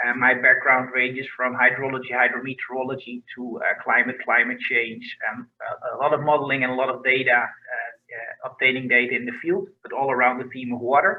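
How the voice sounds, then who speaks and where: A medium-pitched man with a Dutch accent, fairly quick and fairly even in intonation, with hardly any pauses. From Netherlands. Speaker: research scientist. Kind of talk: research profile presentation.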